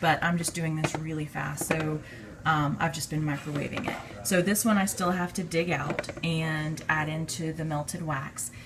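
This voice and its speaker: At a moderate pace, a woman talks through noticeable background noise. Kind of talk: casual tutorial. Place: kitchen. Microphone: phone near.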